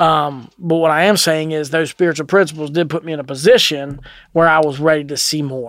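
This man's pitch is fairly high. His intonation stays fairly even. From Kentucky. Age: 40s. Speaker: person in addiction recovery. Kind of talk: testimony. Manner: halting.

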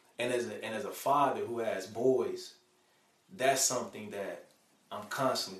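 Amid noticeable background noise and audible room echo, a man with an American accent talks at a moderate pace with big swings in loudness. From Chicago South Side, US. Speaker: mentor and father. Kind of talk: interview.

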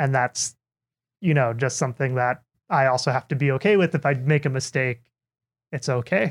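Recorded very cleanly against a silent background, a man with a medium-pitched voice talks at a moderate pace with long, frequent pauses, ordinary pitch variation and very even loudness, the sound dry and close with no echo. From US Midwest, Minnesota. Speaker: PhD student, partner of a host. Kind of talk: casual chat.

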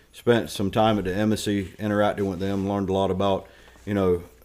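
A man speaks in a North Carolina accent with a fairly low pitch. His tone is dark and mellow, and his intonation is monotone and flat. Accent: North Carolina Southern. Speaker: retired Marine and school board candidate. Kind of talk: interview.

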